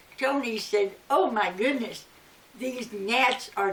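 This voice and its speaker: Very slow, fairly high female speech with ordinary pitch variation and noticeable background noise. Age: 80s+. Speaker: elderly storyteller. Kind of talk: personal reminiscence.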